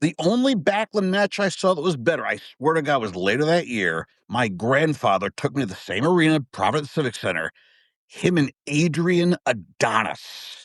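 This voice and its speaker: Against a quiet background, a man with an American accent speaks at a fairly high pitch and moderate pace, his pitch swinging very widely in a dry, close sound with no echo. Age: 50s. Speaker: wrestling fan guest. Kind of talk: casual chat. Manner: animated.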